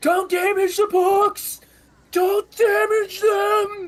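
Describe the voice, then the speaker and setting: An extremely high-pitched, put-on character voice at a very slow pace. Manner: shouting.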